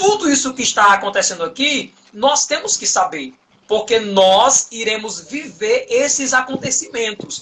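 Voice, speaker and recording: A man with an extremely high pitch speaks in a raised, projected voice at a fairly slow pace, his intonation lively. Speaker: Bible study teacher. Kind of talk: online Bible study lesson. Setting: online live stream.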